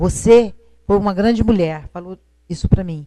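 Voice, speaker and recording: A woman speaks at a medium pitch. Her pace is moderate and her pitch varies in an ordinary way. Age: 60s. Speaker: retired teacher, widow. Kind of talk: TV interview. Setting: TV studio, live broadcast.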